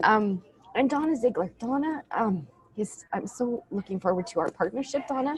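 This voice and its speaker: A woman speaks at a moderate pace with lively intonation and a fairly high pitch. Noticeable background noise runs behind her. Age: 40s. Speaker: nonprofit founder. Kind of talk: video call interview. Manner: halting.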